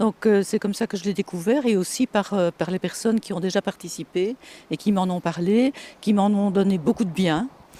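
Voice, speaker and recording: Heard dry and close with no echo, a woman speaks in a dark, mellow tone. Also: very clean recording, silent background. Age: 50s. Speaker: communications manager nearing retirement. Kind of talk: interview. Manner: hesitant.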